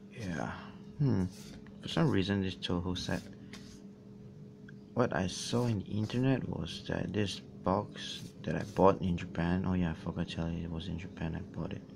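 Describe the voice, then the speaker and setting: A soft-spoken man talks with a very deep, low pitch and vocal fry, leaving long, frequent pauses. Noticeable background noise is present. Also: ordinary pitch variation, moderate pace. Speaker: YouTuber doing a box opening. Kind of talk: casual talk to camera. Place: home room. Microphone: phone near.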